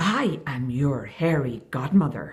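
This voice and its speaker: A put-on character voice growls at a low-to-middle pitch. The delivery is fairly slow. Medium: read story. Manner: loud.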